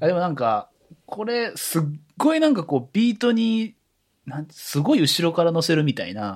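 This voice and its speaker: His pitch is high for a man and swings very widely. He talks at a moderate pace. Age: 30s. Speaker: office worker. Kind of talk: casual chat.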